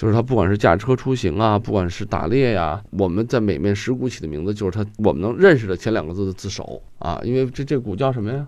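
A man speaks very fast with hardly any pauses. His fairly low voice has lively intonation. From Guangdong, China. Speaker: calligrapher. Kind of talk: casual discussion.

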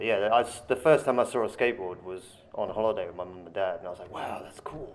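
Speaking at a very fast pace, a man uses an English accent with ordinary pitch variation. Noticeable background noise can be heard. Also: medium pitch for a man, big swings in loudness. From England. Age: 40s. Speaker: skateboarder and former soldier. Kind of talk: interview. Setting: skatepark.

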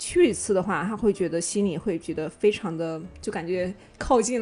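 A woman with an ordinary speaking voice, medium in pitch, with ordinary pitch variation and a moderate pace, over a quiet background. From Shandong, China. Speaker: podcast guest. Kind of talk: casual chat.

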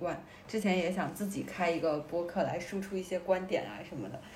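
A woman at medium pitch, at a fairly quick pace with ordinary pitch variation, amid noticeable background noise and audible room echo. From Beijing. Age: 20s. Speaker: podcast co-host. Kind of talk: casual chat.

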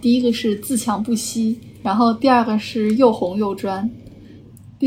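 A woman's fairly high-pitched voice, fairly slow in pace and fairly even in intonation, over noticeable background noise. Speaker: architecture student. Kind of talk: casual chat.

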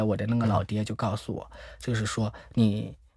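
A man talks at a fairly quick pace in a somewhat breathy voice with monotone, flat intonation, recorded very cleanly over a silent background. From Shandong, China (Zibo). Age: 30s. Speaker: HIV support project manager. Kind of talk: interview testimony.

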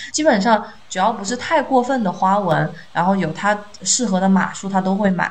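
Pitched in the medium range, a woman speaks at a moderate pace with ordinary pitch variation amid noticeable background noise. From Chongqing, China. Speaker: podcast co-host, teacher. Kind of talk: casual chat.

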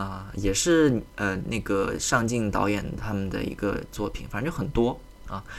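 This man's voice sits fairly low in pitch, with ordinary variation. He speaks at a fairly slow pace. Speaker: podcast host. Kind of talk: casual monologue. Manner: calm, quiet; hesitant, many fillers.

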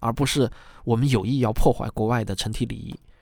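In a very clean recording with a silent background, a man with an ordinary speaking voice talks at a fairly quick pace and a medium pitch. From China. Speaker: podcast host, commentator. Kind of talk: scripted commentary monologue.

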